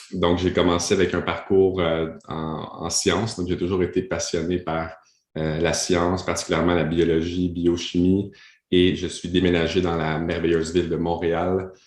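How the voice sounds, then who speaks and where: Against a quiet background, a man with a Quebec accent speaks at a fairly slow pace in a very deep, low pitch and monotone, flat intonation. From Ottawa, Canada (French-Canadian). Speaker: coach and speaker. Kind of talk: podcast interview. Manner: hesitant, many fillers.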